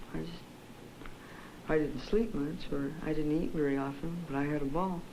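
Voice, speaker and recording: Amid noticeable background noise, a woman with a very deep, low pitch speaks at a moderate pace with ordinary pitch variation. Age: 20s. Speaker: psychiatric patient. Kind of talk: interview answer. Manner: lucid, clear, standard English.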